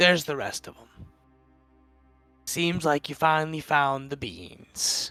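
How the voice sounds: In a gruff, put-on character voice pitched fairly high, a man speaks at a fairly slow pace with long, frequent pauses as faint music plays in the background.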